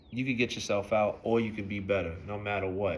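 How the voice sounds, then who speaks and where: A man with an American accent talks at a fairly quick pace. His fairly low voice keeps a fairly even intonation. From New York City (Brooklyn, East New York). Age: 30s. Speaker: vlogger giving life advice. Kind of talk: personal vlog monologue. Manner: casual, conversational.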